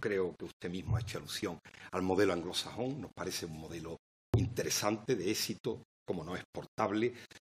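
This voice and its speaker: A man talks in an Andalusian accent. His pitch varies in an ordinary way. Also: dry, close sound with no echo. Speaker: member of parliament. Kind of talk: parliamentary speech. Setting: parliament committee hearing. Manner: formal.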